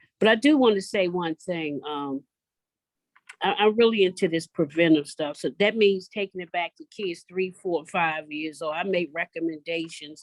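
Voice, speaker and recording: A plain, everyday voice from a woman with an American accent, medium pitch, moderate pace, and ordinary pitch variation. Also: dry, close sound with no echo. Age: 60s. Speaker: community organizer for mothers of violence victims. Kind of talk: panel discussion.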